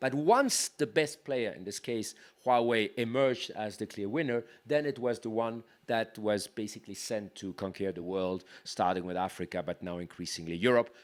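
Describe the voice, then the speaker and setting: A man with a French accent speaks at a medium pitch and moderate pace, with ordinary pitch variation, on a very clean recording with a silent background. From France. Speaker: tech policy leader, panelist. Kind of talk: panel discussion. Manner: halting, with frequent repetitions.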